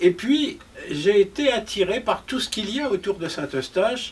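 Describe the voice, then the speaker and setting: Over noticeable background noise, a man with a high voice speaks at a fairly slow pace. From France, Paris. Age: 70s. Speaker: historian and novelist. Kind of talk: interview conversation.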